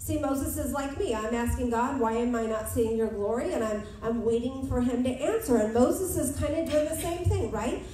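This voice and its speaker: Talking at a fairly quick pace, a woman with a high voice is heard amid audible room echo and light background noise. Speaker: preacher. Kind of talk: sermon. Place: church.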